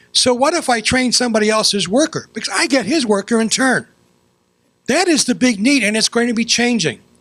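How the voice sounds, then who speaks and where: Extremely high in pitch, a man speaks with an American accent and ordinary pitch variation. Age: 60s. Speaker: former city councilman. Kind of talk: public meeting comment.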